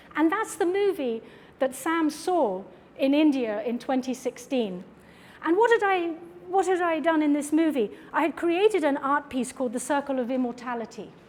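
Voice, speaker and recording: A woman speaks at a high pitch in a British accent, her pitch swinging very widely. Noticeable background noise runs beneath her. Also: moderate pace. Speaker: artist and filmmaker giving a lecture. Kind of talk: lecture.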